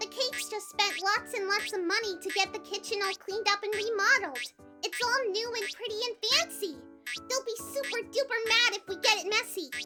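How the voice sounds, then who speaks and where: Clear music plays behind an extremely high-pitched, put-on character voice. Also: fairly quick pace. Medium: read story. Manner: bubbly, excitable.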